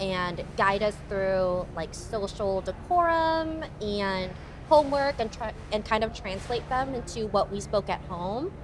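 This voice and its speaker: A woman speaks at a fairly slow pace with a Thai accent and a fairly high pitch. Her pitch swings very widely, and background noise is noticeable. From Alaska, Anchorage. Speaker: pageant contestant. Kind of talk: casual chat.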